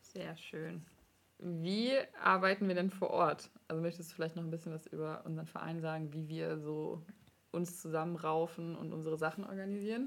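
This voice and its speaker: A woman talks at a moderate pace with a fairly low pitch and an unremarkable speaking voice. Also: fairly even intonation. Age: 20s. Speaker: podcast host, master's student. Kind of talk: casual interview.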